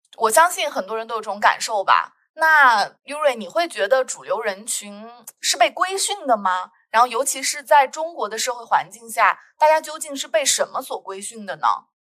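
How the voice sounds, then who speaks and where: With a raised, projected voice, a woman speaks at a high pitch and a moderate pace in a bright, sharp tone, her pitch swinging very widely and her loudness shifting a great deal. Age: 30s. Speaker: podcast host, sociology PhD student. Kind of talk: casual conversational podcast.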